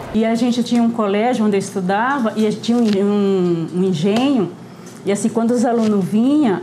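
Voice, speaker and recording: The voice moves at a moderate pace with ordinary pitch variation. Audible room echo and noticeable background noise are present. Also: woman. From Northeast Brazil, Paraíba interior. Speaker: cook. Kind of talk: interview testimony.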